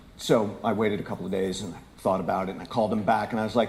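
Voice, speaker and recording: A man speaks in a room with audible echo. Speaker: conference speaker. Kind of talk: keynote talk. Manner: loud; animated.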